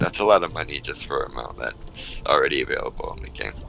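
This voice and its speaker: Music plays behind the voice. A man talks over it at a fairly quick pace. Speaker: gaming streamer. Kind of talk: casual chat. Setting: live stream with headset. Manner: loud; animated.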